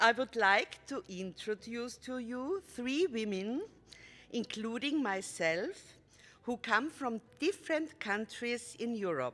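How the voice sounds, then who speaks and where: Speaking very slowly in an Austrian accent, a woman uses lively intonation at a fairly high pitch. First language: German. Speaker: storyteller. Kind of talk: concert introduction for children. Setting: stage with audience.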